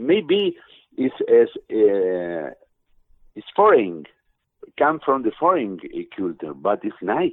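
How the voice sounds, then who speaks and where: Speaking very slowly in an Argentine accent, the voice makes very wide pitch swings and big swings in loudness, with long, frequent pauses. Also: man, medium pitch for a man. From Argentina. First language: Spanish. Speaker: musician. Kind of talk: interview answers. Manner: halting, broken English.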